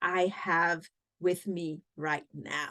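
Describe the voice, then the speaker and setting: A woman with a Cameroonian accent. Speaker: podcast host. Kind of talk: podcast interview.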